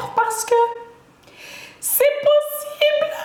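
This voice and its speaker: Amid noticeable background noise and audible room echo, a woman talks in an animated tone with lively intonation. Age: 20s. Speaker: beauty YouTuber, student. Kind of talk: casual vlog introduction.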